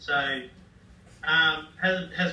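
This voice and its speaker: There is audible room echo around a man speaking. He has an Australian accent and fairly even intonation. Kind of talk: classroom talk. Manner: halting.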